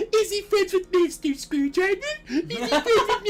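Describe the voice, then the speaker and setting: In a put-on character voice, the speaker sounds squeaky and playful at an extremely high pitch, moving at a moderate pace. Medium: game stream. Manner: perky, playful.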